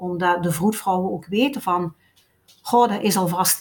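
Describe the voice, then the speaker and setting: A woman's voice is somewhat breathy and has ordinary pitch variation. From Belgian Limburg. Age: 50s. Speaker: doula and breastfeeding consultant. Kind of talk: interview storytelling. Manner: lively, fluent storytelling.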